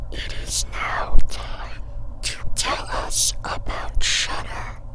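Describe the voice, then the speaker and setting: Through loud background noise, someone whispers in a put-on character voice at a very slow pace. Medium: audio drama. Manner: stiff, formal, uses we.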